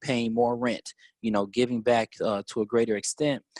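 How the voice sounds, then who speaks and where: Recorded very cleanly against a silent background, the speaker has an American accent and a moderate pace, with a dry, close sound and no echo. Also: man. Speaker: teacher, activist and congressional candidate. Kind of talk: interview. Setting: podcast. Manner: loud.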